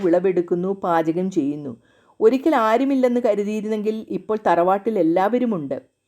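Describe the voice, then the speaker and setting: On a very clean recording with a silent background, a woman's dark, mellow voice carries lively intonation. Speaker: storyteller. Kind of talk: reading aloud.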